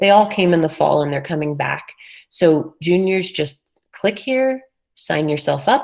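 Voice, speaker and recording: A woman in an unremarkable speaking voice, fairly low in pitch, with lively intonation at a fairly slow pace. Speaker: high school college and career counselor. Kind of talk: presentation to parents and students.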